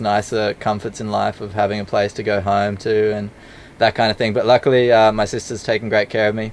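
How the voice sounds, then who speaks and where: A man speaks at a fairly quick pace with an Australian accent, his pitch fairly low. Noticeable background noise runs under his voice. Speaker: travel filmmaker. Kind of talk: casual interview chat.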